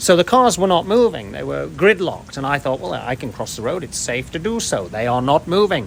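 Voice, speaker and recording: Fairly high-pitched, a man speaks at a fairly quick pace with hardly any pauses, very wide pitch swings and big swings in loudness. Noticeable background noise runs underneath. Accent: English. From England. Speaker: long-time foreign resident. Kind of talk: street interview.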